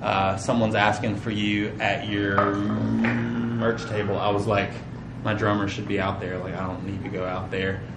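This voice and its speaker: Against noticeable background noise, a man with a fairly low pitch and fairly even intonation speaks at a moderate pace. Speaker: preacher. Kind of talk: sermon. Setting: church. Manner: casual, conversational.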